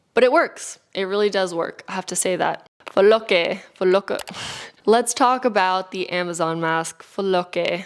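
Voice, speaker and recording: At a fairly slow pace, a woman with an American accent speaks at a medium pitch. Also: ordinary pitch variation. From California. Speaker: beauty and wellness YouTuber. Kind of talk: product review.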